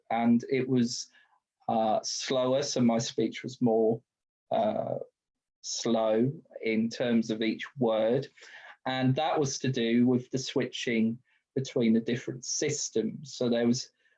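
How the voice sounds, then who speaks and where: Speaking in a British accent, a man talks very slowly with long, frequent pauses, very even loudness, a dark, mellow tone and monotone, flat intonation. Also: medium pitch for a man. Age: 30s. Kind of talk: webinar talk. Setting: video call.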